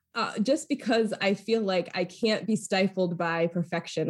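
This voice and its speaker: The speaker's somewhat breathy voice moves at a moderate pace with ordinary pitch variation. The recording is very clean, with a silent background. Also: woman. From Maine, US (Lewiston). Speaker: foundation communications executive. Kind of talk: interview.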